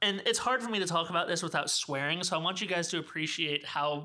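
Bright and sharp in tone, this man's voice is high-pitched and comes in an American accent. He talks at a very fast pace with ordinary pitch variation. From US South. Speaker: podcast co-host, indie filmmaker. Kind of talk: casual chat.

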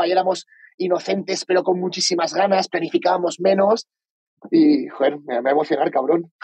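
Speaking at a fairly quick pace, a man with a Valencian accent uses a high voice. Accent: Spanish from Spain (Valencia). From Spain (Valencia). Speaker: entrepreneur. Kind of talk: interview.

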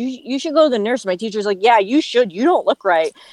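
A woman's lively intonation comes through a dry, close sound with no echo. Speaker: radio show producer. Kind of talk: casual chat.

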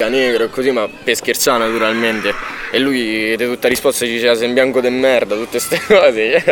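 Medium-pitched male speech at a fairly quick pace, monotone and flat, over noticeable background noise. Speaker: friend of the victim. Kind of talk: casual interview.

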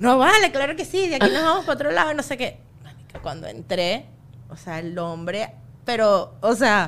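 The speaker has a Venezuelan accent. Their pitch swings very widely. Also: woman, fairly high pitch for a woman, moderate pace. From Venezuela, Los Teques. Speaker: comedian. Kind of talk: casual chat.

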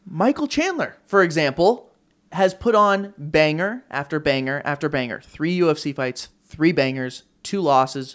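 A man talks at a moderate pace in a plain, everyday voice. His pitch is fairly high, and his intonation is lively. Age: 20s. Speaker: podcaster and combat sports commentator. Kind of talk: casual chat.

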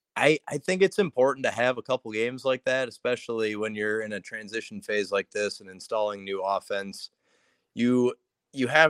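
In a normal speaking voice, a man talks at medium pitch and a moderate pace, with ordinary pitch variation. The sound is dry and close, with no echo. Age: 20s. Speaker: sports writer. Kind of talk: casual chat.

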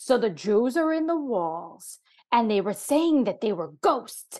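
The speaker is a woman with an American accent. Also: quiet background. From New York. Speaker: comedian. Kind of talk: casual chat.

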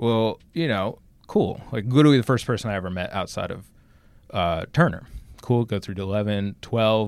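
A man with an American accent, a normal speaking voice, fairly low in pitch with ordinary variation, at a moderate pace. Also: very clean recording, silent background. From New Jersey. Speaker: racing social media manager. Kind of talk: interview. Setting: small room at a speedway.

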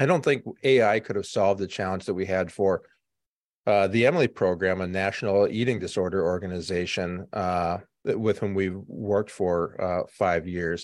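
A man talks in a normal speaking voice with a fairly low pitch against a quiet background. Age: 50s. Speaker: marketing agency executive. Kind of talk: interview.

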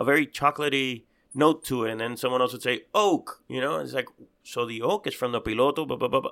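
On a very clean recording with a silent background, a man with a medium pitch speaks in a bright, sharp tone. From Cuba. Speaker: cigar podcast co-host. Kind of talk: casual chat.

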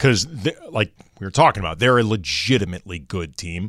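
Heard in a very clean recording with a silent background, a man with an American accent and a plain, everyday voice talks at a moderate pace with a fairly low pitch and lively intonation. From US Midwest, St. Louis. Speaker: sports radio co-host. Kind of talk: sports talk radio chat.

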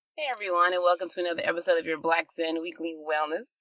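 A woman mumbles in a put-on character voice at a fairly low pitch. She goes at a very fast pace with fairly even intonation.

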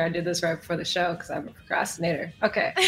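Against noticeable background noise, a woman with a fairly low pitch talks in an American accent. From Chicago. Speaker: music manager. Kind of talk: casual chat.

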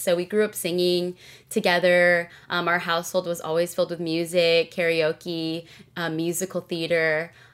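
On a very clean recording with a silent background, a woman speaks at a fairly low pitch and a moderate pace. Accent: Californian. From Southern California. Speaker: executive producer and singer. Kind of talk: interview conversation.

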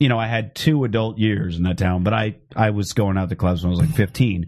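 A man with an American accent and a normal speaking voice, fairly low in pitch, with ordinary pitch variation. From Phoenix, Arizona. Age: 30s. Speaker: comedian podcast host. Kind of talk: casual chat. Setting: live-streamed internet show.

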